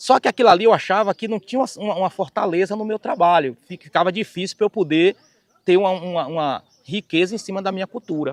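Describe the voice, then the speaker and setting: This man talks very fast in a high voice with a Bahian accent and ordinary pitch variation. The sound is dry and close, with no echo. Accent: Bahian Brazilian Portuguese. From Bahia, Brazil. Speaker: singer and keyboard musician. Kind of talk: life story testimony.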